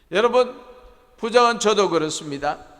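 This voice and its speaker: Here a man talks with very wide pitch swings. The room adds audible echo. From Gyeongsang province countryside, South Korea. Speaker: pastor. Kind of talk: sermon.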